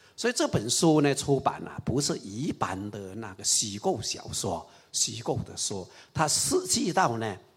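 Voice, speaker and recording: Big swings in loudness at a fairly slow pace. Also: man. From Raoping, Chaozhou area, eastern Guangdong. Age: 60s. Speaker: party historian and writer. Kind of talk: public lecture dialogue.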